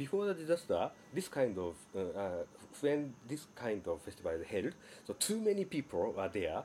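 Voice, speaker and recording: With a Japanese accent, a man speaks in a dark, mellow tone at a fairly high pitch, with very wide pitch swings. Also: moderate pace. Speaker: sound artist and academic. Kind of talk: interview. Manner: halting.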